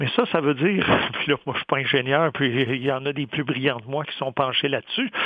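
This man has an unremarkable speaking voice with a fairly high pitch. He moves at a fairly quick pace with fairly even intonation. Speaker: economics professor, columnist. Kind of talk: radio commentary.

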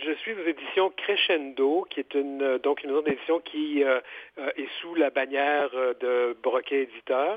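A man speaks in a plain, everyday voice at a fairly high pitch. His pace is fairly slow, with ordinary pitch variation. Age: 50s. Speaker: author and journalist. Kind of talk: interview.

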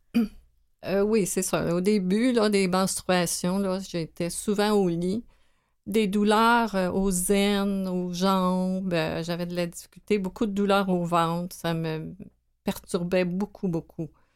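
Very slow, monotone speech with flat intonation in a Quebec accent. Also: woman, medium pitch for a woman. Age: 60s. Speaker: medical administrative assistant. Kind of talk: radio interview.

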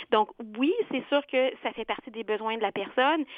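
Here a woman speaks at a high pitch and a fairly slow pace. Her intonation is lively. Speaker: career counselor. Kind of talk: expert interview.

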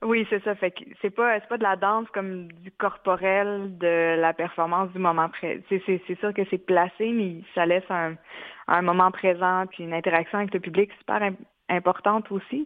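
A woman's medium-pitched voice holds fairly even intonation at a fairly slow pace. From Quebec, Mashteuiatsh community. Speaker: multidisciplinary artist. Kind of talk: interview. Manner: halting.

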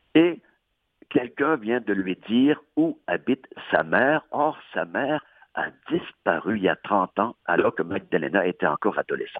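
His pitch swings very widely. The man talks at a fairly slow pace. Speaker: audiobook reviewer. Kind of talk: casual chat.

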